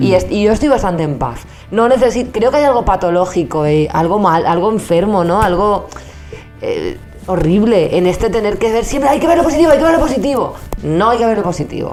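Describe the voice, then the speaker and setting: Over music in the background, a woman of medium pitch talks at a fairly quick pace with very wide pitch swings. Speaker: comedy podcast co-host. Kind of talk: casual conversational talk show. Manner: blunt, emphatic.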